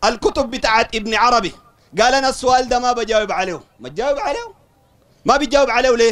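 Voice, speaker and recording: With a Sudanese accent, a man talks in an animated tone at an extremely high pitch. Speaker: Salafi preacher. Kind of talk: religious lecture to a study circle. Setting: study circle with audience.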